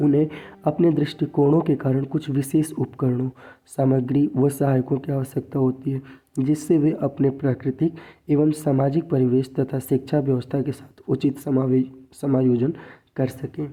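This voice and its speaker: Very slowly and in a monotone, flat intonation, a man speaks with a fairly high, somewhat breathy voice. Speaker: education tutor. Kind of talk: tutorial.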